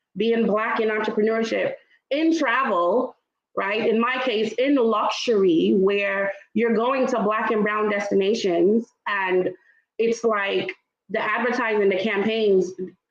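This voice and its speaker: At a fairly slow pace, a woman speaks with a fairly high pitch and ordinary pitch variation. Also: very even loudness. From Trinidad, raised in Brooklyn. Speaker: luxury travel entrepreneur. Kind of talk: panel discussion. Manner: animated.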